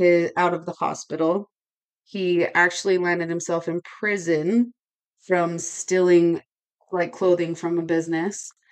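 A woman speaks at a fairly slow pace. Her pitch is fairly low. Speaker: podcast co-host. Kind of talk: casual chat, true-crime storytelling. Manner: loud.

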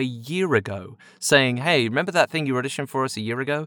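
A man with a southern English accent talks at a fairly quick pace and a medium pitch. His intonation is lively, and the sound is dry and close with no echo. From England, Chelmsford (Essex). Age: 30s. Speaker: voiceover actor. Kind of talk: casual storytelling.

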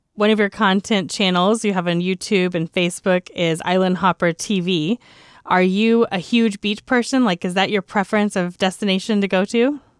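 This woman has an ordinary speaking voice, with an American accent, fairly even intonation and a moderate pace. The recording is very clean with a silent background and a dry, close sound with no echo. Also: medium pitch for a woman, very even loudness. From Texas. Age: young. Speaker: travel podcast host, entrepreneur. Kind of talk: casual interview chat.

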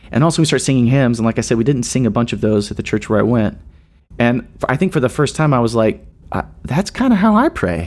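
A man with an American accent, medium pitch, lively intonation and a very fast pace. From US South, Nashville, Tennessee. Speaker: worship leader and songwriter. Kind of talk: interview conversation. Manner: halting.

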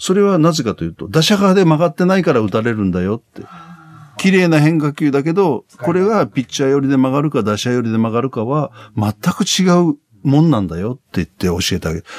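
The man's pitch is fairly high and swings very widely as he talks at a fairly quick pace. The sound is dry and close, with no echo. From Tottori, Japan. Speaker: baseball commentator and former pitcher. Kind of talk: interview.

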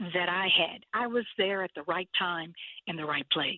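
A woman talks with a Texan accent at a moderate pace. Her voice is medium in pitch with ordinary variation. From South Texas. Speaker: nonprofit founder. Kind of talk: interview.

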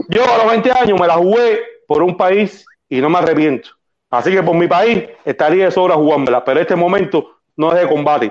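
Speaking at a moderate pace, a man with a high pitch uses lively intonation at very even loudness. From Cuba. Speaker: political activist. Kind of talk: casual chat.

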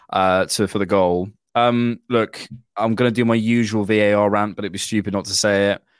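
In a very clean recording with a silent background, a man talks at a fairly quick pace with monotone, flat intonation. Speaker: podcast host, Arsenal fan. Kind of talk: casual chat. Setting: video podcast recording.

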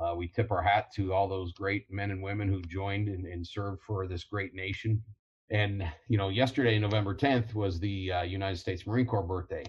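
A man's somewhat breathy, fairly low voice with a Midwestern American accent, fairly even intonation and a fairly quick pace. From Ohio, Toledo. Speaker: college football coach and Marine veteran. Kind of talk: casual interview. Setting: video call.

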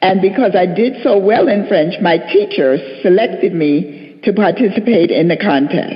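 Against noticeable background noise, a woman speaks slowly-ish in an American accent. Her pitch swings very widely. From Harlem, New York City. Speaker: nurse, panelist. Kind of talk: panel discussion.

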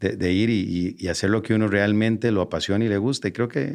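A man with an unremarkable speaking voice talks at a fairly quick pace in a fairly low pitch, with ordinary pitch variation, against a quiet background. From Costa Rica. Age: 40s. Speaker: entrepreneur and marketer. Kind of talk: interview.

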